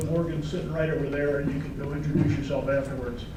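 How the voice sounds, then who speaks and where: A man talks amid noticeable background noise. Room echo is audible. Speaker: lawyer and retired naval officer. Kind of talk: presentation. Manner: soft-spoken.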